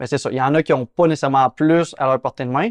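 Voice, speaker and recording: A man with a Quebec accent at a fairly high pitch, with fairly even intonation and a very fast pace, in a dry, close sound with no echo against a quiet background. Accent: Québécois French. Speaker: real estate investor and channel host. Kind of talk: interview.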